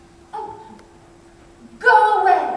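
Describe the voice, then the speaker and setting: In a put-on character voice, a woman sounds squeaky at an extremely high pitch with monotone, flat intonation. Strong echo surrounds her. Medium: stage play. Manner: breathy, melodramatic, innocent act.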